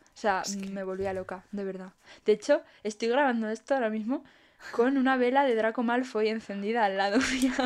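Talking at a fairly quick pace in a Spanish accent, a woman uses a fairly high voice with ordinary pitch variation and big swings in loudness. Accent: Peninsular Spanish. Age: 20s. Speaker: podcast co-host. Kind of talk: casual chat. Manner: animated.

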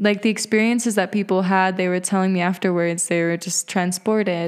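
This woman has an ordinary speaking voice, a medium pitch, and fairly even intonation. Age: 20s. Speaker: podcast host and spiritual guide. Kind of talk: casual monologue.

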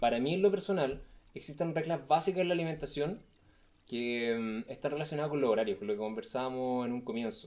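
A man with a Chilean accent talks at a very fast pace in a fairly high pitch, his intonation lively. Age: 30s. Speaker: nutritionist. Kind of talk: casual chat.

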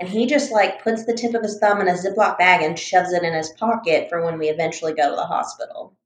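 A woman speaks at a very fast pace. She barely pauses. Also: medium pitch for a woman, ordinary pitch variation. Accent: American. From US Deep South, Mobile, Alabama. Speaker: podcast co-host. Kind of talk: casual chat.

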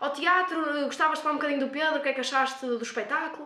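A woman speaks in a high, bright, sharp voice, raised and projected. Audible room echo surrounds her. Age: 20s. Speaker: nursing student. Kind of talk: casual interview. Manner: energetic, talkative.

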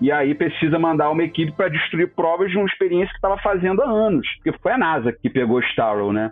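Music plays in the background as a man talks at a high pitch and very fast pace, with hardly any pauses. His pitch swings very widely while his loudness stays very even. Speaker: podcast panelist. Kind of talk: casual chat. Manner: animated.

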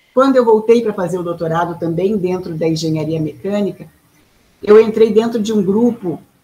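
Pitched medium for a woman, with ordinary pitch variation and a moderate pace, she has an ordinary speaking voice. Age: 50s. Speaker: artist and mechanical engineer, inventor of a color method. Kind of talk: interview.

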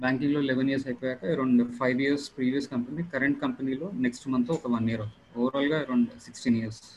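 Speaking at a medium pitch, a man keeps his intonation fairly even. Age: 30s. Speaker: software project manager. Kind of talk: Q&A on a video call. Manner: halting.

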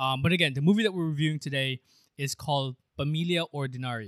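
Fairly high and bright, sharp in tone, a man's voice comes with an American accent. He talks at a fairly quick pace in a dry, close sound with no echo. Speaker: podcast host. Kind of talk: casual chat. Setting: remote call, home mic. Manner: animated.

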